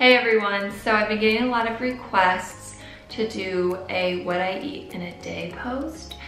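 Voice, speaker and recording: A woman with an American accent talks at a fairly slow pace, using ordinary pitch variation. Audible room echo and faint music in the background surround her. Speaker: fitness and nutrition vlogger. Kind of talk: casual talk to camera. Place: home room.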